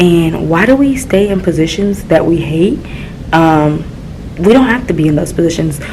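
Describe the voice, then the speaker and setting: A woman whispering at a fairly quick pace, with audible room echo and noticeable background noise. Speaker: middle school teacher and vlogger. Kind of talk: casual vlog. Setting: classroom.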